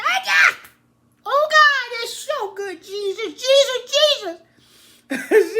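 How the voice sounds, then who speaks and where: A woman puts on a character voice at an extremely high pitch with lively intonation. She goes very slowly, with long, frequent pauses. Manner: warm, exclaiming.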